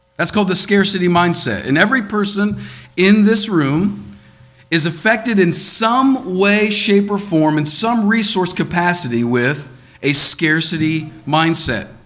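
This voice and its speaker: A man talks at a high pitch with lively intonation and a fairly slow pace. Music plays in the background, and there is audible room echo. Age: 30s. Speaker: preacher. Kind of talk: sermon. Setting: church.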